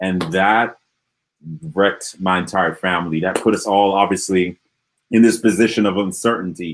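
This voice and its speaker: On a very clean recording with a silent background, a man with an Antiguan accent and fairly low pitch speaks with long, frequent pauses. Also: moderate pace. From Antigua and Barbuda. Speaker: motivational speaker. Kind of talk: interview Q&A. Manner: animated.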